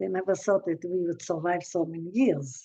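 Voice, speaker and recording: A woman is speaking. Her tone is dark and mellow. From Israel (born in Haifa). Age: 80s+. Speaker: human rights activist. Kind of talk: talk. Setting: video call. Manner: halting.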